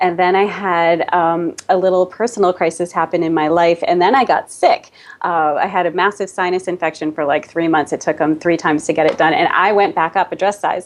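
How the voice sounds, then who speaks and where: Speaking fairly quickly with hardly any pauses, a woman with a Boston accent keeps a fairly low pitch and fairly even intonation. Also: very even loudness. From US, Boston. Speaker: Pilates studio owner and fitness expert. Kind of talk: interview.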